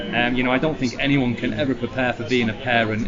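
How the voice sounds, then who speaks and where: With a Lancashire accent, a man talks at a fairly quick pace amid noticeable background noise and audible room echo. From northern England, Blackpool, Lancashire. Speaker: adventurer and former soldier. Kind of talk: interview. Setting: noisy public venue.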